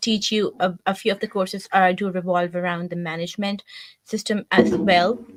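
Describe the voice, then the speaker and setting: A woman with a strong Pakistani accent speaks at a moderate pace and a medium pitch, in a monotone, flat manner. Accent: thick Pakistani. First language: Urdu. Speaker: marketing team member. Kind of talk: interview.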